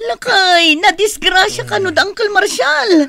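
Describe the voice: A woman does a put-on character voice with an extremely high pitch and a bright, sharp tone. She speaks at a fairly slow pace with lively intonation.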